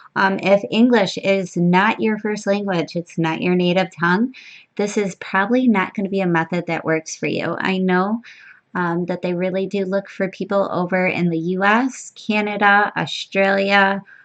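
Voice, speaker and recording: A woman talks at moderate pace and medium pitch in an unremarkable speaking voice. Her intonation is fairly even, and the background is quiet. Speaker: online money-making YouTuber. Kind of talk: tutorial. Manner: casual, with frequent um fillers.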